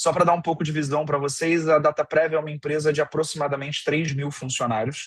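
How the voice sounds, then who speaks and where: Somewhat breathy and fairly high-pitched, a man's voice moves at a very fast pace. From Brazil. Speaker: innovation manager at a tech company. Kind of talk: online lecture.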